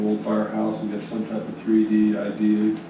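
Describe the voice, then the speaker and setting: Audible room echo and noticeable background noise accompany a man with a fairly low pitch. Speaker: town board member. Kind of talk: public meeting. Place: meeting room.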